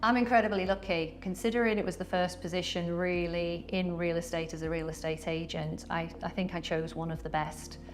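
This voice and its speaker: Over music in the background, a woman with a fairly low pitch speaks in a British accent at a fairly quick pace, with fairly even intonation and hardly any pauses. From UK. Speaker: real estate agent. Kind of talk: interview.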